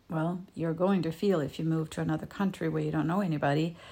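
Recorded very cleanly with a silent background, the speaker has a Danish accent and ordinary pitch variation. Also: woman. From Denmark. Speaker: emotional healing coach. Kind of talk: solo video talk. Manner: halting, with fillers and repetitions.

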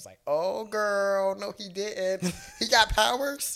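Using a put-on character voice, a man speaks very slowly in a high pitch. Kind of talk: casual, slangy. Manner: sassy, scolding.

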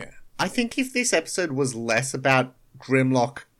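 Here is a natural reading voice. It carries through the whole clip.

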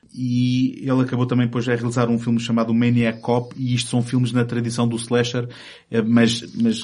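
Flat, monotone intonation marks this man's medium-pitched speech, delivered at a moderate speed. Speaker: film podcast host. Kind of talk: casual chat.

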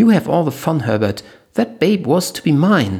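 This man uses a put-on character voice that is shrill and fairly high in pitch. He talks at a moderate pace with very wide pitch swings. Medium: read story. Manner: crude, excitable.

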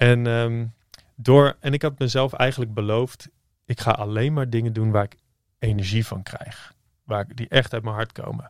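A man with an unremarkable speaking voice talks at a moderate pace and medium pitch, his intonation fairly even, in a very clean recording with a silent background and a dry, close sound with no echo. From Netherlands, various towns, pastor's son. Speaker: entrepreneur, former copywriter. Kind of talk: interview. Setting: studio.

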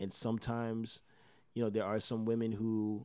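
A man with an American accent, fairly low pitch and a dark, mellow tone at a moderate pace over a quiet background. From Miami, Florida. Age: 20s. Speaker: rapper. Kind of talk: casual interview.

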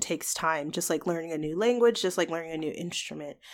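Here is a woman with an American accent and an unremarkable speaking voice, pitched fairly low. She talks at a fairly quick pace on a very clean recording with a silent background. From US, Georgia. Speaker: podcast guest. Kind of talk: casual discussion.

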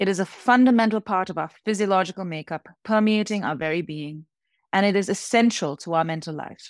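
A woman speaks at a fairly quick pace in an unremarkable speaking voice, medium in pitch with ordinary pitch variation. The recording is very clean, with a silent background. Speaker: professor and creativity researcher. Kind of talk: reading aloud a prepared essay on imagination, then interview answers.

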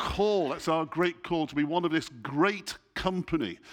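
A man speaks with an English accent at a fairly high pitch. His pace is moderate, and the background is quiet. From England. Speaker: church leader, guest preacher. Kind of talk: sermon. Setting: church.

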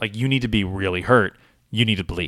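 A man speaks in an energetic tone with ordinary pitch variation. His voice sounds bright and sharp. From US Northeast (Boston). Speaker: actor and improviser. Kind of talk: casual chat.

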